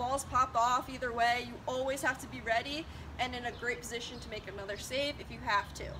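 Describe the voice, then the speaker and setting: A woman speaks at a fairly quick pace in a raised, projected voice. Her pitch is high, with ordinary variation. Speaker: lacrosse goalie coach. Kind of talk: tutorial. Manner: fast.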